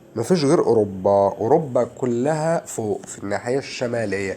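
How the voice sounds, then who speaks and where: Speaking at a fairly slow pace with an Egyptian accent, a man uses lively intonation at a medium pitch. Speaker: social studies teacher. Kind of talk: lecture. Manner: animated.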